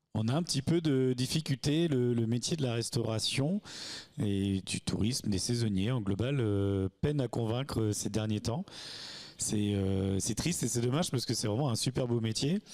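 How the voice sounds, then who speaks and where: In an unremarkable speaking voice, a man talks at a moderate pace and medium pitch, with ordinary pitch variation, very even loudness and a quiet background. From Normandy, France (Sainte-Marie-du-Mont). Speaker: restaurant and hotel owner. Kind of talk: interview. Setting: at a campsite. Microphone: handheld.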